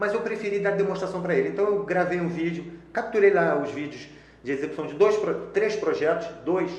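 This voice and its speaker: A man talks at a fairly quick pace with ordinary pitch variation. Audible room echo and noticeable background noise surround his voice. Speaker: software developer and trainer. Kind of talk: casual interview chat. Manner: fast.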